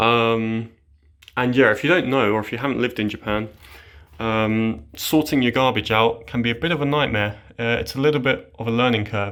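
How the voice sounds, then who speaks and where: A man with a British accent speaks in a relaxed tone. His pace is moderate and his pitch variation ordinary. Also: medium pitch for a man. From Britain. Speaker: vlogger. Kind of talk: casual vlog apartment tour. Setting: indoors, own apartment. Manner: relaxed, many filler sounds.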